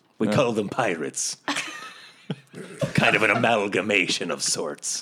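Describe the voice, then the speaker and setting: A man puts on a gruff character voice at a fairly low pitch. He speaks at a moderate pace. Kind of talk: comic overacting. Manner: pirate talk, halting, gruff.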